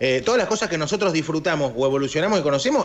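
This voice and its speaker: Speaking very fast, a man with a Rioplatense accent makes very wide pitch swings. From Argentina. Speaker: radio host. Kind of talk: casual chat. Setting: studio. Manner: animated. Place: home room. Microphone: video call.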